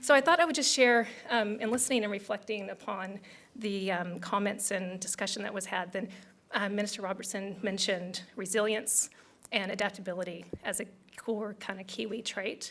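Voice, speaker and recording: A woman with an American accent has a normal speaking voice at a medium pitch. She speaks at a moderate pace with ordinary pitch variation. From United States. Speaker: tech company country director. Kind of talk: business event speech.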